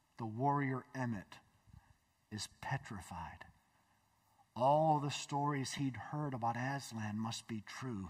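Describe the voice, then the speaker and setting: The speaker goes very slowly, somewhat breathy, with long pauses that come often. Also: man, ordinary pitch variation, quiet background. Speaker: pastor. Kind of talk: sermon. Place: church. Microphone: headset.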